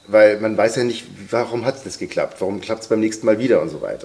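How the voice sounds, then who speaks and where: A man talks at a very fast pace, with noticeable background noise behind him. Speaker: voice-over artist and sound designer. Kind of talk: casual chat.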